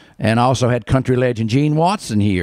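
A man speaks at a moderate pace in a North Carolina accent, with ordinary pitch variation. The sound is dry with no echo, and the background is quiet. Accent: Southern US, North Carolina. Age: 60s. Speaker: barber, bluegrass concert promoter. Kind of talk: interview answer. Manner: casual, hesitant. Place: shop. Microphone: handheld.

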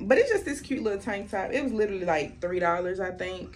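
Faint music plays behind a woman who talks at a fairly quick pace with lively intonation. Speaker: youtuber. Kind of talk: haul video. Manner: animated. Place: home room. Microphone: camera far.

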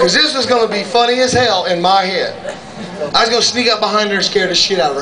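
A man's raised, projected, high-pitched voice in an animated tone, at a very fast pace with ordinary pitch variation, over noticeable background noise. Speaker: stand-up comedian. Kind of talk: raunchy stand-up comedy set, crude war and marriage stories to a bar crowd. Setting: stage with audience in a comedy club. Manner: brash, profane storyteller with sound effects; animated, laughs at his own jokes.

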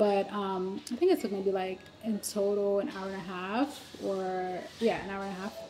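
A woman's fairly even intonation over light background noise. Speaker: vlogger on a work trip. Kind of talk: casual vlog chat. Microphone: phone near.

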